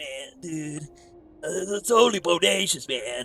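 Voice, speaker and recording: A man's put-on character voice, fairly high-pitched and at a fairly slow pace, with faint music in the background. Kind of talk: casual slang. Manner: relaxed, easygoing.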